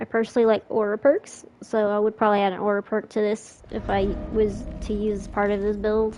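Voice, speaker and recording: A Southern US accent at a fairly quick pace, in a monotone, flat intonation. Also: woman, medium pitch for a woman. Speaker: gaming streamer. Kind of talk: gameplay commentary tutorial. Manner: casual, slightly halting.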